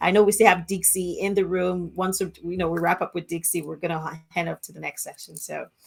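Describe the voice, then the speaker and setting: Speaking with an African accent at a fairly quick pace, a woman with a medium pitch talks in a monotone, flat way with hardly any pauses and big swings in loudness. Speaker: global chair hosting a launch event. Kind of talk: virtual event hosting. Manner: informal, chatty.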